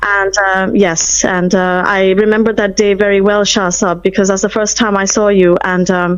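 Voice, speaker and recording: The speech runs at a moderate pace with hardly any pauses, very even loudness and a monotone, flat intonation over noticeable background noise. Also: woman, medium pitch for a woman. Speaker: caller giving testimony. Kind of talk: testimony. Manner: hesitant, many fillers.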